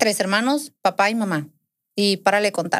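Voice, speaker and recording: A woman speaks at a medium pitch with ordinary pitch variation over a quiet background. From Sinaloa, Mexico (Navolato); Sinaloa, Mexico. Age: 20s. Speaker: podcast guest. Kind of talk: casual interview, personal story. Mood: earnest, recounting painful family story. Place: studio. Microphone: studio mic.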